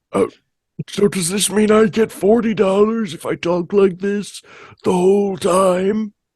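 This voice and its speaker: Delivered at a fairly slow pace, the put-on character voice holds a middle pitch. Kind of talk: refined, formal.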